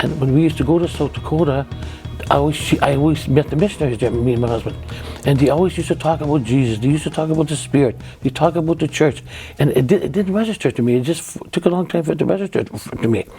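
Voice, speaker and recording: A woman talks very fast in a very deep, low voice with ordinary pitch variation. Noticeable background noise can be heard. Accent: Canadian. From Dauphin, Manitoba, Canada. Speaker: church member sharing testimony. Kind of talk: interview answer. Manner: energetic, fast-talking.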